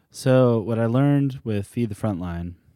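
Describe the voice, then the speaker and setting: On a very clean recording with a silent background, a man with an American accent speaks in a dark, mellow tone, dry and close with no echo. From US South, Charleston, South Carolina. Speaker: community organizer and costumer. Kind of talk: casual chat.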